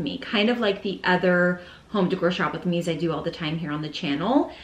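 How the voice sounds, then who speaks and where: The speech moves at a very fast pace. Audible room echo is present. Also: woman. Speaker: home decor vlogger. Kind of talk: casual vlog chat. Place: home room.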